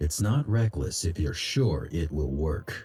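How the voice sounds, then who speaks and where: A man puts on a character voice. It sits very deep and low. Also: fairly slow pace. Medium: video game. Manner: terse, clipped.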